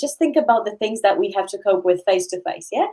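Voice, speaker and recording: A woman with a medium pitch speaks in a dark, mellow tone with lively intonation. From Poland. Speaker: university lecturer, coach. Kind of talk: interview conversation. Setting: live video webinar. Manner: hesitant, many repetitions.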